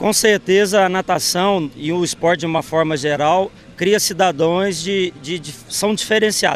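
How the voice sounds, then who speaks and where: Over light background noise, a man with a high pitch speaks at a moderate pace with ordinary pitch variation, his sound dry with no echo. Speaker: PE teacher. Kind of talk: interview answer. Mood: calm, informative. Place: waterside. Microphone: handheld.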